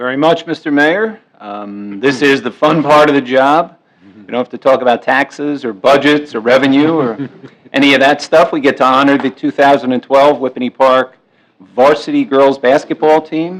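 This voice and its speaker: At a moderate pace, a man with a fairly high pitch and ordinary pitch variation shows big swings in loudness. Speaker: township committeeman and recreation director. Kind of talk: public meeting remarks. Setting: municipal meeting room.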